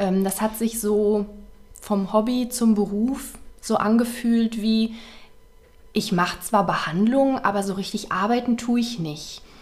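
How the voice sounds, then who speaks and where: A woman speaks at a very slow pace with long, frequent pauses. Her fairly high pitch holds a fairly even intonation. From Ruhr area, western Germany (Waltrop). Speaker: beauty salon owner. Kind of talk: casual interview. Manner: hesitant, many fillers.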